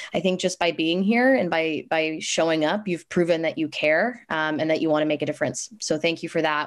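Against a quiet background, a woman with a fairly low voice speaks at a fairly quick pace with hardly any pauses. Her tone is enthusiastic, with ordinary pitch variation. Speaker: nonprofit program staff. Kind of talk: presentation. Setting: video call. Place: home room. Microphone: video call.

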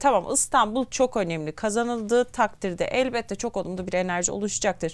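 Her pitch sits fairly high, with ordinary variation, as this woman talks in a normal speaking voice at a moderate pace. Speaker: TV news host. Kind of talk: TV interview.

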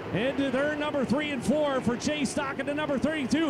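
A man talks in an extremely high pitch with an animated tone. Noticeable background noise runs under his voice. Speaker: race announcer. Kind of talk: live race commentary. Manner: fast, rapid-fire, excitable play-by-play; loud, animated, showman-like.

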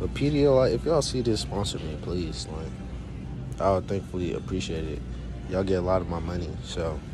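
With clear music in the background, a man talks at a moderate pace in a very deep, low pitch. The sound is dry, with no echo. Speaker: college student vlogger. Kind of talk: casual vlog chat. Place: shop. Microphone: phone near.

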